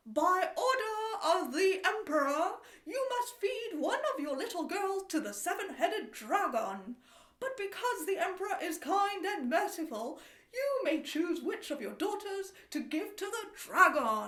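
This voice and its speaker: A woman puts on a character voice at an extremely high pitch, with very wide pitch swings and a moderate pace. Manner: booming, officious proclamation.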